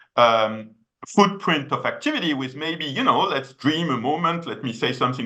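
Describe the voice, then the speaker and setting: A man speaks at a fairly quick pace with a fairly high pitch. His tone is bright and sharp, and his intonation is lively. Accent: French. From France. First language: French. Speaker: economist, policy researcher. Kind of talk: web seminar presentation. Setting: video call. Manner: many hesitations and fillers.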